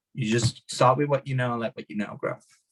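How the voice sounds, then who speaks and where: In a dry, close sound with no echo, a man talks at a very fast pace, medium pitch, somewhat breathy, with ordinary pitch variation. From Hungary. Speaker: martial arts teacher and podcast guest. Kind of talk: podcast interview.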